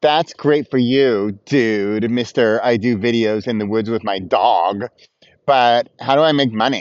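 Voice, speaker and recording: A man's whiny put-on character voice at a medium pitch and a fairly slow pace. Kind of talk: casual, mocking. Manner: whiny, complaining.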